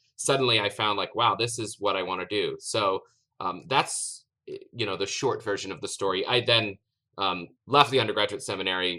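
On a very clean recording with a silent background, a man with an American accent speaks fairly quickly in a bright, sharp tone, at a medium pitch with ordinary pitch variation. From US South, East Tennessee. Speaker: theology professor. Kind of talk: interview. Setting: at home.

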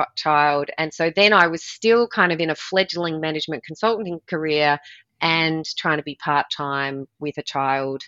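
A woman speaks with an Australian accent. Her pitch is fairly low, and her pace is moderate. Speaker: performance coach and former triathlete. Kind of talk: podcast interview.

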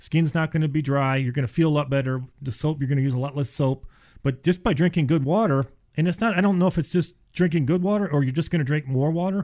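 This man talks at a very fast pace, his pitch fairly high with ordinary variation. The recording is very clean, with a silent background. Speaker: water treatment specialist. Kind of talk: radio interview. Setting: studio.

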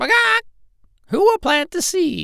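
This is a put-on character voice, squeaky and extremely high in pitch. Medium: read story. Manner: clucking before each line.

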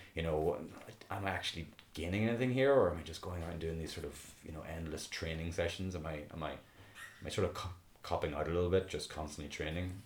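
A man speaks very quickly in a Northern Irish accent. His pitch sits very deep and low. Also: ordinary pitch variation. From Belfast, Northern Ireland. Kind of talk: casual interview chat.

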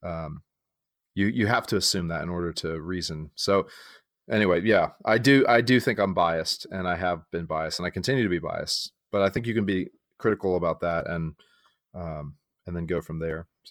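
A man's very deep, low voice with ordinary pitch variation and big swings in loudness, at a fairly quick pace, recorded very cleanly against a silent background with a dry, close sound and no echo. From San Diego, California (born in Texas). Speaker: pastor. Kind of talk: casual chat.

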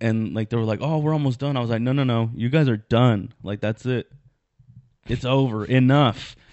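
This man has an ordinary speaking voice at medium pitch, talking at a moderate pace with fairly even intonation. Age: 20s. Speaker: comedian and podcast host. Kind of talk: casual chat.

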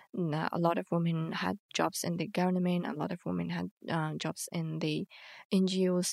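Speaking at a moderate pace with an Afghan accent, a woman is heard in a very clean recording with a silent background and a dry, close sound with no echo. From Afghanistan. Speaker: university student and refugee. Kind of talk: casual interview.

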